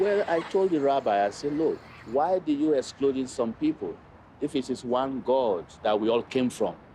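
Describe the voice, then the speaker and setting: A man with an ordinary speaking voice talks at a moderate pace and a fairly high pitch. His intonation is lively while his loudness stays very even. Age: 60s. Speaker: local resident. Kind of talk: casual conversation.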